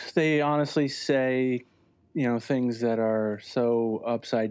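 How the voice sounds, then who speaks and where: A man with an American accent has an ordinary speaking voice at medium pitch with ordinary pitch variation. He talks at a fairly slow pace against a quiet background. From Connecticut, US. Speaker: environmental journalist and editor. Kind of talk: interview.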